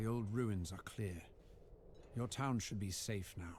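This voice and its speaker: A man's put-on character voice, fairly low and fairly slow, amid clear background noise. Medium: video game. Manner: terse, matter-of-fact.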